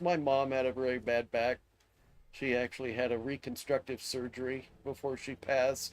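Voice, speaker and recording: This man speaks at a moderate pace with a medium-pitched voice. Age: 60s. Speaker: gaming streamer. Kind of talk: casual live stream talk while gaming. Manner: casual, rambling.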